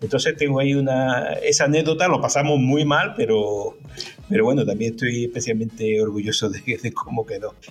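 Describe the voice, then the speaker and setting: A man's medium-pitched voice with lively intonation at a fairly quick pace, over noticeable background noise. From Andalusia, Córdoba. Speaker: dubbing and localization company director. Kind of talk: casual interview. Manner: halting, many repetitions.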